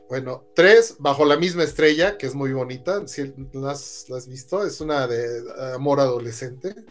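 Music plays in the background. A man speaks at a fairly high pitch with lively intonation. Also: fairly slow pace. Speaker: podcast co-host. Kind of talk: casual chat. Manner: halting.

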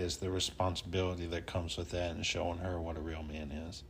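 With a Southern US accent, a man speaks in a very deep, low pitch that is somewhat breathy. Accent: Southern US twang. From US South, North Alabama. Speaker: tattoo artist and military veteran. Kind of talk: casual interview chat.

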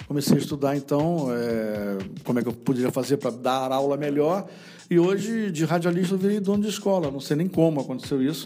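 Fairly quick and lively in intonation, a man speaks at a fairly high pitch with a dark, mellow tone. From Rio de Janeiro, Brazil. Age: 50s. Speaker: radio broadcaster. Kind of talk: casual interview.

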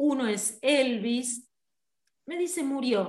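An animated woman's voice, high in pitch. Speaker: radio host. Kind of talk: casual chat.

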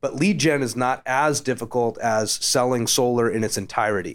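A man speaks in a normal speaking voice at a medium pitch, with ordinary pitch variation. The recording is very clean with a silent background. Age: 30s. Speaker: solar company executive. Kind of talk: casual chat. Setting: office.

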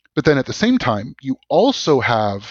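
A man with a Canadian accent speaks in a medium-pitched voice. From Canada, Vancouver. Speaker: law professor. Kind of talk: interview. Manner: hesitant with repetitions.

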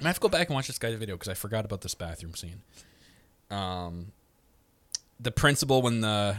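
A man speaks at a fairly low pitch in an animated tone. His pitch variation is ordinary. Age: 20s. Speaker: podcast host. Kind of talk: casual chat.

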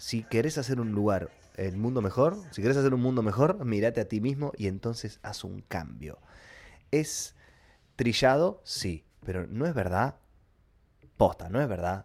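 A man with a Rioplatense accent, animated in tone with lively intonation, at a fairly slow pace with long, frequent pauses, on a very clean recording with a silent background. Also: medium pitch for a man. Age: 30s. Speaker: podcast host, YouTuber. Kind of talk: casual monologue.

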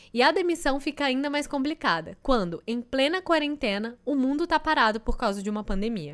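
The speech runs at a fairly quick pace with hardly any pauses and lively intonation, on a very clean recording with a silent background. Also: woman, high pitch for a woman. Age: 20s. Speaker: podcast host. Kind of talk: scripted intro.

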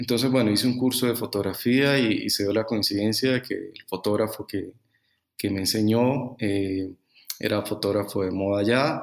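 In a normal speaking voice, a man with a fairly low pitch talks at a moderate pace with fairly even intonation on a very clean recording with a silent background. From Colombia, Bucaramanga. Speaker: fashion photographer. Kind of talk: interview.

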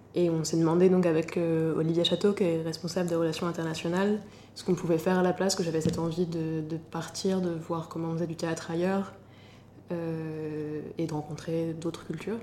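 Over noticeable background noise, a woman with fairly low pitch speaks at a moderate pace in a monotone, flat delivery. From Normandy, France. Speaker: playwright and stage director. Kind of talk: interview.

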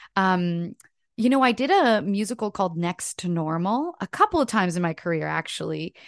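A woman with a Canadian accent, medium pitch, lively intonation and a fairly quick pace, in a dry, close sound with no echo against a quiet background. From Canada. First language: French. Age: 30s. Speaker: actress and singer. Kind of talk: casual interview chat. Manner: animated.

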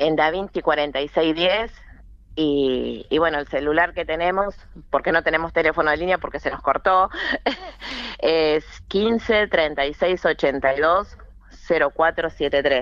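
Very slowly and with long, frequent pauses, a woman speaks in a very deep, low pitch with ordinary pitch variation. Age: 50s. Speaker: cooperative worker. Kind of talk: interview. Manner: halting.

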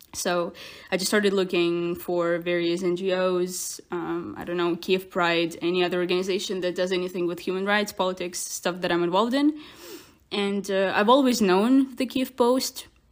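Noticeable background noise sits under a woman's voice. She talks at a moderate pace with ordinary pitch variation. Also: medium pitch for a woman. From Ukraine, Kyiv. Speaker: journalist. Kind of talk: interview.

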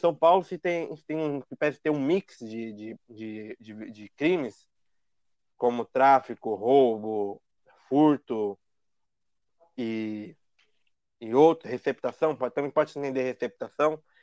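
In a dry, close sound with no echo, a man of medium pitch speaks at a very slow pace, with long, frequent pauses, ordinary pitch variation and big swings in loudness. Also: quiet background. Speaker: podcast host, lawyer. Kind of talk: casual chat.

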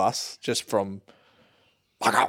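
With an Australian accent, a man does the talking. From Australia, Geelong, Victoria. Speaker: content creator, podcast co-host. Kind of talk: casual chat. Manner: quiet.

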